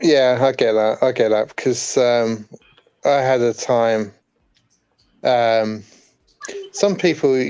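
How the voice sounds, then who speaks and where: A man with an English accent at a medium pitch, very slow, with fairly even intonation. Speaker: warehouse worker. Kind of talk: casual chat. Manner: soft-spoken.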